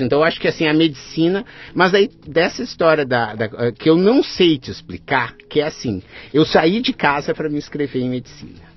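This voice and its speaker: A man with a southern Brazilian accent and a fairly high pitch. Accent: gaúcho Brazilian Portuguese. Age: 40s. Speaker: innovation professor and facilitator. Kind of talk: casual chat.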